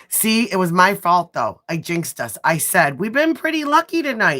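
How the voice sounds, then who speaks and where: Very wide pitch swings at a moderate pace. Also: woman. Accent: strong Midwestern US. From US Midwest. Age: 40s. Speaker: nail artist livestreamer. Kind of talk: casual livestream chat. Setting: livestream.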